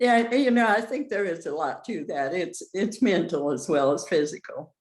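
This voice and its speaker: On a very clean recording with a silent background, a woman at a medium pitch moves at a moderate pace while her pitch swings very widely. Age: 80s+. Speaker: nurse. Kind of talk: casual interview chat. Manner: halting.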